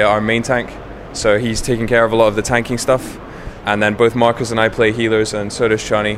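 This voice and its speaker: A man's medium-pitched, fairly quick speech in a monotone, flat intonation, over noticeable background noise. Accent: English. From England. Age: 20s. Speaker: professional gamer, guild raid leader. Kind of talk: interview. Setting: gaming convention.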